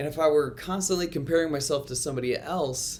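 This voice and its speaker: A man speaks with lively intonation. There is audible echo from the room. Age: 30s. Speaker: school chapel speaker and coach. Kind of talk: chapel talk. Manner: loud.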